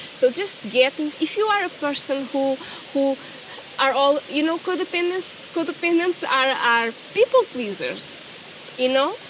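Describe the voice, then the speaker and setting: A woman talks in a Portuguese accent with a high pitch and lively intonation. Her pace is moderate, over noticeable background noise. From Portugal. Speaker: spiritual coach. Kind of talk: personal vlog. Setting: outdoors. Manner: halting.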